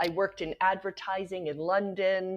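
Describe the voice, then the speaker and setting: In a Canadian accent, a woman speaks at a medium pitch and a moderate pace. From Canada. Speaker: nonprofit founder. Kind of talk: podcast interview. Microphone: unstable internet connection.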